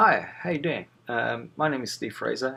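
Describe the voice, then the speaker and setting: A man speaks with a London accent at a moderate pace. His tone is bright and sharp. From London, England. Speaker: missionary video blogger. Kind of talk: personal video journal. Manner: halting, many fillers.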